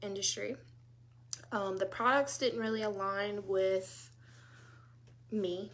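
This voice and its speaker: A woman with a Louisiana accent. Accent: Southern US, Louisiana. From US South, South Louisiana. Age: 30s. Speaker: direct sales consultant. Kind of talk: casual live talk to group. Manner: casual, many fillers.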